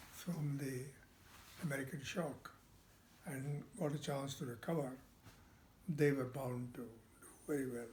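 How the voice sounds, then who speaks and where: Speaking at a moderate pace with long, frequent pauses, a man uses a fairly high pitch, a dark, mellow tone, a somewhat breathy delivery and ordinary pitch variation. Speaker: retired export trade executive. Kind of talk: casual family interview answer.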